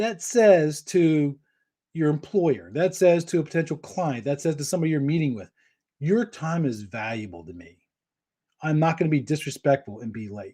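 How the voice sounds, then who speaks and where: Against a silent background on a very clean recording, a man speaks at a fairly high pitch with a dark, mellow tone and lively intonation. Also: big swings in loudness. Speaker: cabling industry trainer and show host. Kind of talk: live Q&A advice show. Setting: live stream broadcast. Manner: fast.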